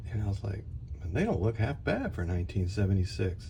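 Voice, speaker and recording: The room echo is audible. The pitch varies in an ordinary way. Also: man. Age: 60s. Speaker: scale model builder. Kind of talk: tutorial. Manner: casual, hesitant with many fillers.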